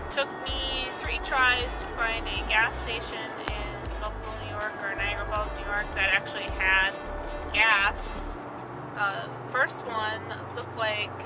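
Over music in the background, a woman talks at a fairly slow pace, the sound dry with no echo. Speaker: vlogger on a road trip. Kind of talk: casual vlog chat. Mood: mildly annoyed, chatty. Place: car. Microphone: phone near.

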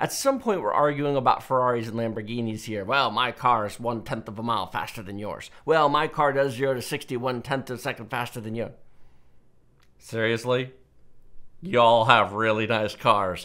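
A man talks at a moderate pace with ordinary pitch variation. His tone is bright and sharp, and the background is quiet. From Texas. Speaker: tech channel host. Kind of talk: Q&A commentary monologue. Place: studio. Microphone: headset.

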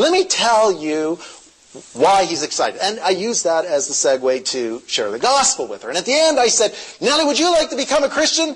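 Over noticeable background noise, a man speaks at a high pitch with very wide pitch swings. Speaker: pastor. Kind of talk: sermon. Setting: stage with audience.

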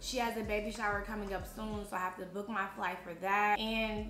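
Noticeable background noise runs under this clip. A woman speaks at a medium pitch. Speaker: vlogger. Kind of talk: casual talk to camera. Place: home room.

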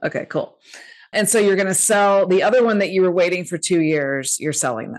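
Speaking at a fairly quick pace over a quiet background, a woman has an animated tone and lively intonation. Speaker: podcast host. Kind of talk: casual interview. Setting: video call. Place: home room. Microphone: studio mic.

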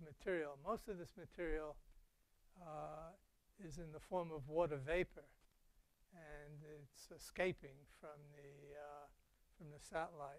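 The man's speech unfolds at a fairly slow pace. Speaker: lecturer. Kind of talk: lecture. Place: hall.

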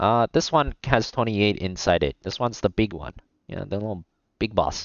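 At a moderate pace, a man with a plain, everyday voice speaks at a fairly low pitch. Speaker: esports shoutcaster. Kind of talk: esports shoutcasting.

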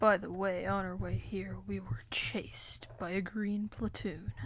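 A female-sounding put-on character voice at a fairly slow pace. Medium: toy film.

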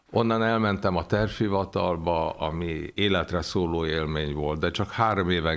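With ordinary pitch variation, a man speaks in a very deep, low voice. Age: 70s. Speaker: economist, former official. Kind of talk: interview. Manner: hesitant, many filler sounds.

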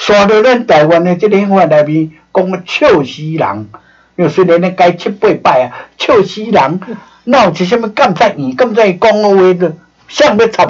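Speaking at a moderate pace over a quiet background, a man with a high-pitched voice keeps his intonation lively. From Taiwan. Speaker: former diplomat and lecturer on history; lecturer on history. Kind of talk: lecture. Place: studio.

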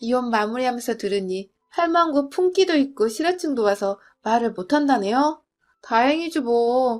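A woman at high pitch with lively intonation, very even loudness and a moderate pace, on a very clean recording with a silent background. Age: 30s. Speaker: storyteller. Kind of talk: scripted narration.

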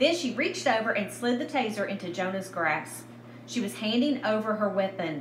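Reading aloud in a natural voice, with ordinary shifts in pitch

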